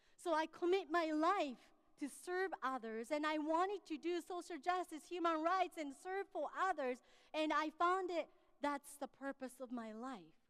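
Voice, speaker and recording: A woman talks at a moderate pace with an extremely high pitch and ordinary pitch variation. The sound is dry and close, with no echo. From Japan, Tokyo. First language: Japanese. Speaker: pastor. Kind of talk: sermon.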